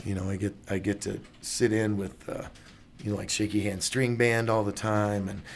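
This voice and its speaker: A man's fairly low voice with fairly even intonation at a moderate pace. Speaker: musician. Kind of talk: interview answer.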